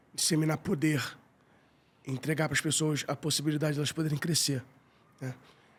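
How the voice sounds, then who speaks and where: A man with a Carioca accent speaks at a fairly high pitch. His intonation is fairly even and his voice somewhat breathy. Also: long, frequent pauses. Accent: carioca Brazilian Portuguese. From Rio de Janeiro, Tijuca. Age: 40s. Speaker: business owner. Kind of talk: podcast interview.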